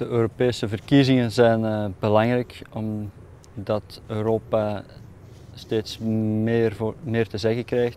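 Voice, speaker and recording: A man with an Antwerp accent speaks at a fairly low pitch. His intonation stays flat and monotone. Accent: Flemish Dutch (Antwerp region). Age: 30s. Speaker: tomato farm manager. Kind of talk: interview testimony. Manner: hesitant, frequent 'eh' fillers.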